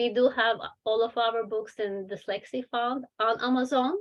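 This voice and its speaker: In a non-native accent, a woman speaks with a fairly high pitch. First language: not English. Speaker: children's book author and publisher. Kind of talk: webinar talk with Q&A. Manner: hesitant, many fillers.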